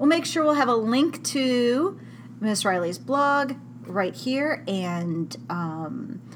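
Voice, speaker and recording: Over noticeable background noise, a woman speaks at a fairly high pitch with very wide pitch swings. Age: 40s. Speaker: blog podcast host interviewing a fellow adult chat worker. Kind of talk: casual interview chat. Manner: giggly, laughs often.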